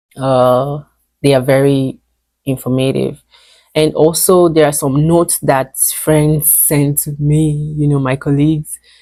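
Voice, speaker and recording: A woman with a very deep, low pitch and a dark, mellow tone speaks fairly slowly in a monotone, flat intonation. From Nigeria. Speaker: veterinarian. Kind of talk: casual Q&A vlog. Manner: hesitant, many fillers.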